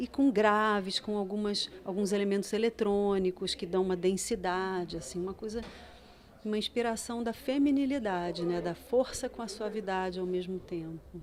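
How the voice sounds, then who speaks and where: Pitch moves in an ordinary way. The pace stays moderate. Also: woman, medium pitch for a woman. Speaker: singer-songwriter. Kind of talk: interview.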